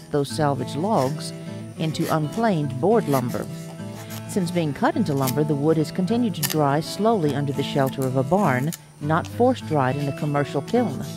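Over music in the background, a woman speaks at a moderate pace with a very deep, low pitch. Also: lively intonation. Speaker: family history narrator. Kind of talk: documentary narration.

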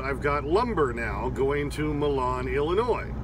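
Noticeable background noise runs beneath a man's speech. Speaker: truck driver vlogger. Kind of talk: casual vlog chat. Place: car. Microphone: phone near.

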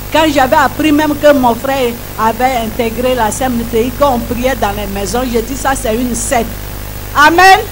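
Over noticeable background noise, a woman with a high pitch and ordinary pitch variation speaks at a fairly slow pace. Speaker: church member giving testimony. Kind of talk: testimony. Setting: church. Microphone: handheld.

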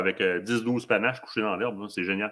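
Against a quiet background, a man with a Quebec accent talks at a very fast pace. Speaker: hunting show host. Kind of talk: live stream interview. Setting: studio. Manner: animated. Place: home room. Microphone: webcam.

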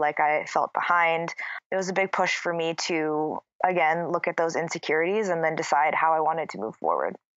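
Her pace is fairly quick and her intonation monotone and flat. The woman has a fairly low pitch and an American accent. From US Midwest, Minnesota. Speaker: yoga and wellness entrepreneur. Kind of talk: casual interview chat.

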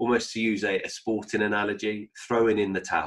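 A man has a normal speaking voice, fairly low in pitch. He talks at a moderate pace against a quiet background. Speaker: bible teacher. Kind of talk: sermon. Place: home room. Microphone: webcam.

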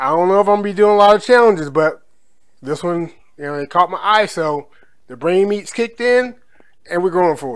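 Against a quiet background, a man talks at a fairly quick pace with big swings in loudness. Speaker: food vlogger. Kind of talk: casual vlog chat. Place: kitchen. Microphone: phone near.

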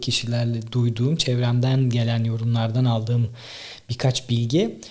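The man's voice is somewhat breathy. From Tekirdağ, Turkey. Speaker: podcaster and content creator. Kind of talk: solo monologue, casual talk to camera. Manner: conversational, informal.

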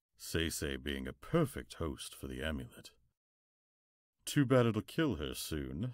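A man speaks at a fairly slow pace in a menacing cartoonish character voice, on a very clean recording with a silent background. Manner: cold, gloating, menacing.

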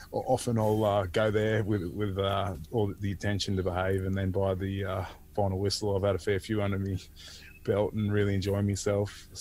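The speaker has an Australian accent, a moderate pace and a monotone, flat intonation. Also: man, fairly low pitch for a man. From Australia, Port Macquarie NSW. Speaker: former rugby league player. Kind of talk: casual interview. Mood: jovial, laughing. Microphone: earbuds.

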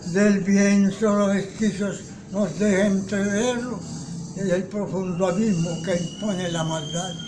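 A man speaks in a flat monotone at a very slow pace, his pitch high for a man. Background noise is clearly noticeable. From Caribbean coast of Colombia. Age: 80s+. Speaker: poet. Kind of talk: poetry reading. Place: home room. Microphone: phone near.

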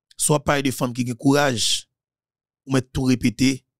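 In a dry, close recording with no echo, a man with a Haitian accent speaks at a very slow pace. His pitch is medium and his intonation fairly even. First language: Haitian Creole (speaking French). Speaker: political commentator. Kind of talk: political monologue.

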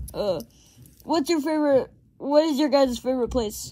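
This is a cartoonish character voice with a high pitch. It moves along at a moderate pace. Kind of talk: improvised puppet comedy skit.

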